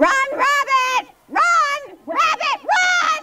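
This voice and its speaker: A put-on character voice rings out at an extremely high pitch. It is loud. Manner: warning, urgent shouting.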